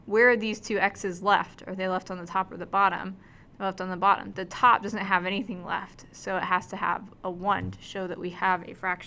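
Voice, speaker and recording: A woman with a medium pitch speaks in a monotone, flat intonation, her bright, sharp tone rising and falling sharply in loudness. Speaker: math teacher. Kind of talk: tutorial. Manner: fast.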